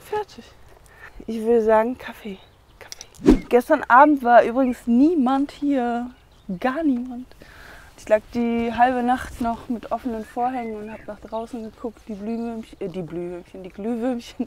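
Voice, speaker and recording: A woman at a fairly slow pace, dry with no echo, big swings in loudness, ordinary pitch variation, and light background noise. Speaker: van life vlogger. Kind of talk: casual vlog chat. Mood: relaxed, cheerful. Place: car. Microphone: lapel.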